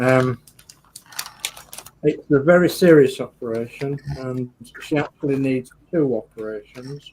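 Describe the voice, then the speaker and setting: A man speaks in a Geordie accent. His pace is fairly slow and his intonation fairly even. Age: 50s. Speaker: model club show host. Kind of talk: casual chat.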